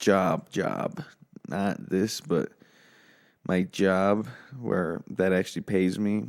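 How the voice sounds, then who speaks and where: A quiet man's voice at a very deep, low pitch with ordinary pitch variation, speaking at a very slow pace with long, frequent pauses, in a very clean recording with a silent background. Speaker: podcast host. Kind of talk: casual solo podcast chat. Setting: home office. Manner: talking low and quiet.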